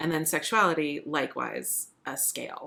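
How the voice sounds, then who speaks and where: A woman's very deep, low voice with a bright, sharp tone. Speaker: podcast guest. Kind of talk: casual interview chat. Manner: thoughtful, hesitant with fillers.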